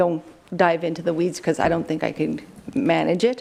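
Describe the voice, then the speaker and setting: A woman talks at a fairly quick pace with a Canadian accent. Her pitch is fairly low, with vocal fry. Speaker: police detachment commander. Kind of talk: council presentation. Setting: council chamber. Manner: fast.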